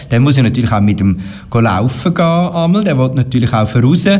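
Over noticeable background noise and audible room echo, a man talks at a fairly quick pace and a medium pitch. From Switzerland, Canton Uri. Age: 50s. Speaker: schlager singer and radio presenter. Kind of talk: interview.

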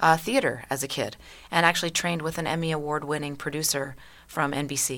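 Speaking at a very fast pace with an American accent, a woman has a very deep, low pitch and fairly even intonation. The recording is very clean, with a silent background. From US South, Louisiana and Southeast Texas. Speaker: performance artist and hoop dancer. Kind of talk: casual interview. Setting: studio.

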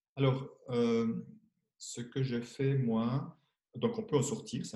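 Somewhat breathy, the man's voice has a dark, mellow tone and medium pitch. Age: 60s. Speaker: money coach and author. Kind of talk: interview.

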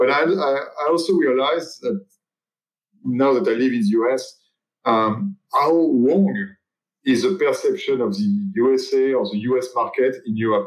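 A man with a French accent talks at a fairly slow pace with very wide pitch swings. His loudness stays very even. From France. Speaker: watch brand executive. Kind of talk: interview.

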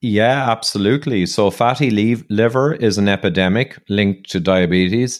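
A man with a Dublin accent and a fairly low pitch. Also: ordinary pitch variation, moderate pace, very even loudness. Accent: Irish (Dublin). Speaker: engineer and health author. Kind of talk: interview conversation. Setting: office, remote call.

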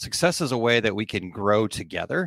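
The recording is very clean, with a silent background and a dry, close sound with no echo. The speech moves at a moderate pace. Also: man. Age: 40s. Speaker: small business coach and podcast host. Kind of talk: casual solo podcast talk with live comments. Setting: live video stream. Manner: halting, many repeated words and fillers.

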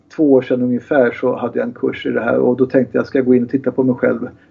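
The pace here is very fast. It comes from a man at a medium pitch. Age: 60s. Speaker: kinesiologist and therapist. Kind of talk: interview.

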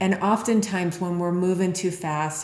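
A woman speaks at a moderate pace with monotone, flat intonation, amid noticeable background noise and audible room echo. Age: 40s. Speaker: leadership consultant. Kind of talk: interview.

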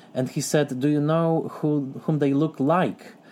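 A man with a Polish accent, fairly high in pitch, with a dark, mellow tone and fairly even intonation, in a very clean recording with a silent background. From southern Poland. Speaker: film critic and scholar. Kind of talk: interview.

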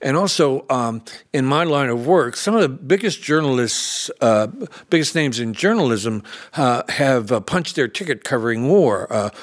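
A man with a normal speaking voice talks at medium pitch. His intonation is lively and his pace moderate. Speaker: war journalist. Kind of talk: oral history interview.

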